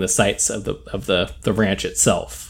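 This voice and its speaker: A man's voice with vocal fry. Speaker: podcast co-host. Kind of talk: casual chat. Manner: mumbling.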